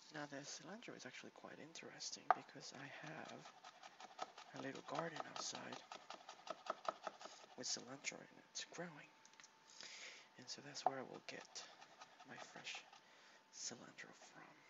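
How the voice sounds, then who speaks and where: A soft-spoken man talks at a moderate pace with a relaxed tone, ordinary pitch variation, and big swings in loudness. He leaves long, frequent pauses, and there is noticeable background noise. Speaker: home cook and ASMR creator. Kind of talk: casual talk to camera, cooking demonstration. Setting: home kitchen, laptop recording. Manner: soft-spoken, relaxed.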